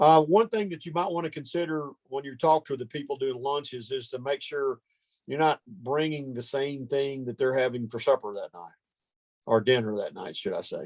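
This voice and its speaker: With a Southern US accent, a man speaks with ordinary pitch variation in a dry, close sound with no echo. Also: fairly high pitch for a man. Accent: southern US drawl. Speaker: ministry training leader. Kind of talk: training meeting.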